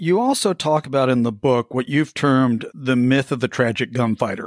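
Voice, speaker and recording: An unremarkable speaking voice moves at a moderate pace, with a dry, close sound and no echo. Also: man. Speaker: podcast host. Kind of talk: interview, casual chat.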